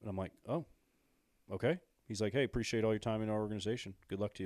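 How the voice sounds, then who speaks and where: The delivery is very fast, and the pitch varies in an ordinary way. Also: man. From Illinois. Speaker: former pro baseball player and coach. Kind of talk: casual interview chat.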